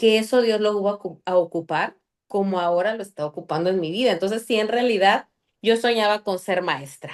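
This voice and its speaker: Against a quiet background, a woman talks at a fairly quick pace in an animated tone, her medium pitch showing ordinary variation. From Mexico City, later Chiapas. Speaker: podcast guest. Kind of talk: interview. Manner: loud.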